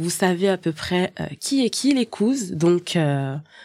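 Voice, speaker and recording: Over a silent background in a very clean recording, a woman speaks very slowly at a fairly low pitch. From Haitian family. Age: 30s. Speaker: podcast co-host. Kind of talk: casual chat. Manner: hesitant, many fillers.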